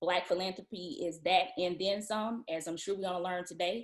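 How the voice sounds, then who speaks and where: In a Southern US accent, a woman talks at a moderate pace with ordinary pitch variation. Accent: Southern, country. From Atlanta, US South. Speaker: event speaker. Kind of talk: virtual event announcement.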